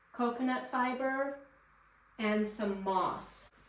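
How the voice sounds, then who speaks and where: A woman with a fairly high pitch speaks very slowly, her pitch varying in an ordinary way. Noticeable background noise and audible room echo fill the recording. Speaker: gardening vlogger. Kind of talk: tutorial. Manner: loud; casual. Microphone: poor microphone.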